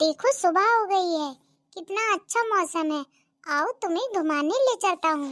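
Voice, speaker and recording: A woman puts on a cartoonish character voice at an extremely high pitch, with lively intonation and a fairly slow pace, in a dry, close sound with no echo. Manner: grumbling, complaining.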